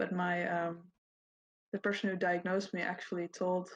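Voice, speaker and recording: A woman with a non-native accent talks at a moderate pace in a somewhat breathy, fairly low voice with monotone, flat intonation. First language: Dutch. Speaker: podcast guest. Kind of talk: casual chat.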